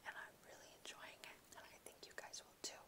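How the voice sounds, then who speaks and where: At a fairly quick pace, the speech comes out as a whisper. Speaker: ASMR reader. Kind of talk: casual talk to camera. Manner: whispered. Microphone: phone near.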